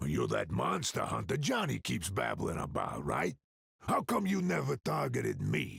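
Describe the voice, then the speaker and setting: Using a put-on character voice, a man speaks with a raspy, very deep, low pitch. His pace is moderate. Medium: video game. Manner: folksy, gruff.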